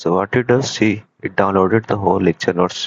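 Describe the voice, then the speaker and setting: This man has an Indian accent and ordinary pitch variation. He talks at a fairly quick pace. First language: Hindi. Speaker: student developer presenting project. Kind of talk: software demo tutorial. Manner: halting.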